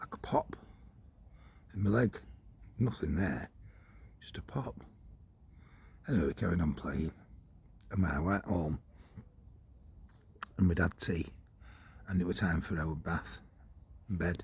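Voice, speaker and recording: With a very deep, low pitch, a man talks at a moderate pace, somewhat breathy, with ordinary pitch variation and long, frequent pauses. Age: 60s. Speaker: vlogger. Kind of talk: casual monologue. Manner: rambling conversational.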